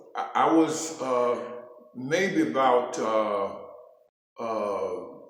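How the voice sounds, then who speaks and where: Very slow, lively speech from a medium-pitched man with an American accent, with audible room echo. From New York City. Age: 70s. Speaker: interviewee. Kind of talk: casual interview. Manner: halting.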